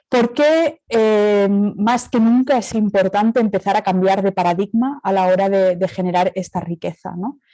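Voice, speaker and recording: A woman's dark, mellow voice at a medium pitch with a Catalan accent, ordinary pitch variation and a moderate pace, in a dry, close sound with no echo. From Catalonia, Spain. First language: Catalan (speaking Spanish). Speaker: speaker at academic colloquium, cooperative representative. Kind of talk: conference talk. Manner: hesitant, many fillers.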